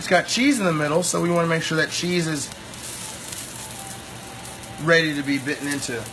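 A man speaks with fairly high pitch. Background noise is clearly audible. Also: ordinary pitch variation, moderate pace.

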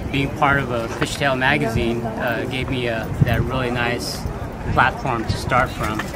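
The sound of a man's voice is dry with no echo, under loud background noise. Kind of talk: interview answer. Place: street.

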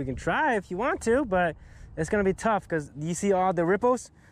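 With lively intonation, a man speaks in a dry sound with no echo. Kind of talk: casual vlog chat. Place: boat. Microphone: phone near.

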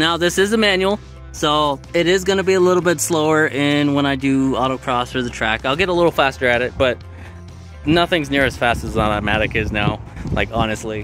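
A man speaking at a fairly quick pace, dry sound with no echo, clear music in the background. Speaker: car vlogger. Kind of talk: casual vlog chat. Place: street. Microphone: phone near.

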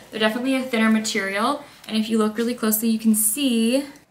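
Against audible room echo, a woman speaks at a fairly quick pace with fairly even intonation. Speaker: lifestyle vlogger. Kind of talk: casual vlog chat. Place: home room. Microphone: phone near.

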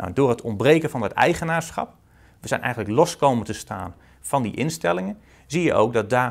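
With vocal fry and very wide pitch swings, the voice moves at a fairly quick pace against a quiet background. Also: man. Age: 30s. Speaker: accountant and author. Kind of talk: interview. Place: office. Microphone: lapel.

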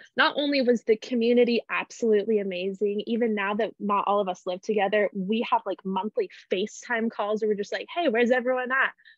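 Talking very fast with hardly any pauses, a woman with an American accent uses a fairly high pitch and ordinary pitch variation, the sound dry with no echo over a quiet background. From Spokane, Washington; Washington. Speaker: university student; panelist. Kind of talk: casual chat. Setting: video call. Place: home room. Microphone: webcam.

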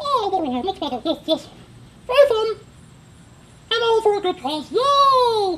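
A cartoonish character voice at an extremely high pitch, moderate in pace, with long, frequent pauses. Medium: puppet show. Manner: calm, chipper.

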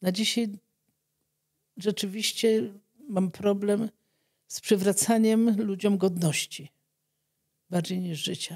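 A woman's somewhat breathy voice at a very slow pace, with long, frequent pauses, fairly even intonation and a quiet background. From Poland. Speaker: doctor treating leprosy patients; guest. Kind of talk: interview testimony. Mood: calm, reflective. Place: studio. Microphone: studio mic.

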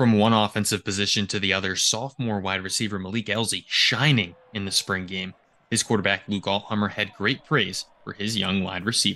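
The tone is bright and sharp, with fairly even intonation. The pace is fairly quick. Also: man, fairly low pitch for a man. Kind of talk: news report. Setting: outdoors at stadium.

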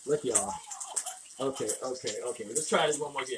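Room echo is audible as a man speaks at a fairly quick pace. His medium pitch varies by an ordinary amount.

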